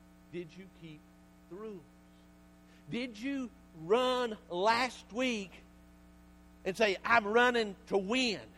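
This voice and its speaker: At a very slow pace, a man speaks in a Southern US accent, pausing long and often. His pitch is high. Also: ordinary pitch variation. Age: 50s. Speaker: pastor. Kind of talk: sermon. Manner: animated.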